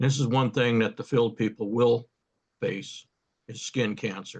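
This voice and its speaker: A somewhat breathy man's voice at medium pitch, monotone and flat, at a fairly slow pace. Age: 70s. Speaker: field land surveyor. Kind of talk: panel discussion.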